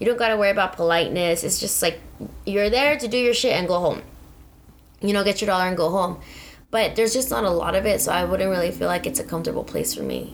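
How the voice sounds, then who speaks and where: A woman with an American accent speaks at a very fast pace. Her pitch is medium, with ordinary pitch variation. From San Diego, Southern California. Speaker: podcast co-host. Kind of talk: casual chat.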